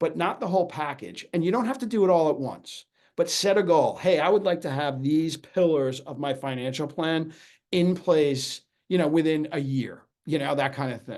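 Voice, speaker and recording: With an American accent, a man speaks at a fairly high pitch with ordinary pitch variation. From New York. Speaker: financial advisor. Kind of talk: webinar presentation. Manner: fast.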